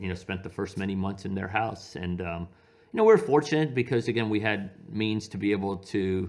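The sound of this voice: Speaking fairly quickly, a man has a low pitch, ordinary pitch variation, and a slightly mellow tone.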